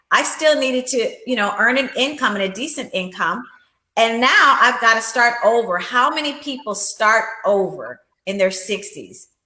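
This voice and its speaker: A woman speaks at a moderate pace and a fairly high pitch, with ordinary pitch variation and an ordinary speaking voice. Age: 60s. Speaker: life insurance agent and empowerment coach. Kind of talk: interview.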